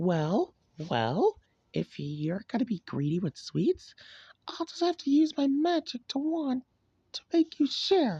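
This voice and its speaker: Someone does a put-on character voice, high in pitch and fairly slow. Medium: read story. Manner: scolding, self-righteous.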